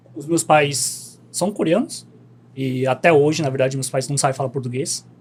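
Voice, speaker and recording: A man's somewhat breathy voice, fairly high in pitch, with ordinary pitch variation and a fairly slow pace. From Korean community in Bom Retiro, São Paulo, Brazil. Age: 30s. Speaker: podcast guest, travel content creator. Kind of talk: casual interview chat.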